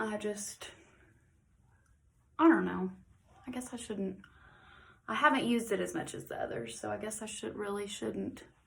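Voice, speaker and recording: Heard with audible room echo, a woman speaks at a moderate pace, leaving long, frequent pauses and swinging widely in loudness. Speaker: makeup tutorial vlogger. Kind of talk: tutorial. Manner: casual, filler-heavy.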